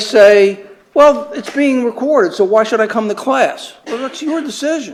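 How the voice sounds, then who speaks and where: The speaker is male. He uses lively intonation. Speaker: professor. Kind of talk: lecture. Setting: classroom with students. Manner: fast; halting, many fillers and repeats.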